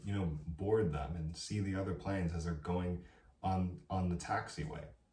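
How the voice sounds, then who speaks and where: A man with a very deep, low pitch speaks in an animated tone, with audible room echo. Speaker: college student vlogger. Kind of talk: advice vlog monologue.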